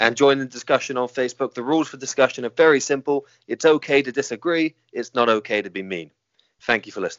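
Very fast male speech at medium pitch, with ordinary pitch variation and big swings in loudness. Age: 30s. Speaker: podcast host. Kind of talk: casual interview chat.

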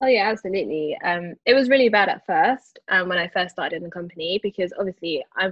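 A woman with a South London accent, medium pitch, ordinary pitch variation, a very fast pace and hardly any pauses. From London, Brixton. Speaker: digital product owner in investment management. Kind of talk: podcast interview. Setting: remote call from Dubai.

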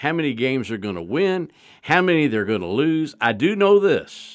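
Recorded very cleanly against a silent background, a man speaks at a fairly high pitch with very wide pitch swings. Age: 60s. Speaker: sports journalist. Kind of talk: casual sports talk radio. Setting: radio studio.

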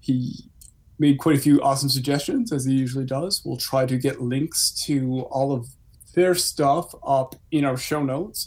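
Breathing audibly, a man talks in a fairly high pitch at a moderate pace. His intonation stays fairly even. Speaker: podcast host. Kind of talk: casual chat.

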